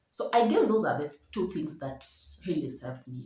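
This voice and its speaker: A woman with a dark, mellow tone and a somewhat breathy voice speaks at a moderate pace with lively intonation. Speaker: storyteller vlogger. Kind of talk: personal storytelling. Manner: animated.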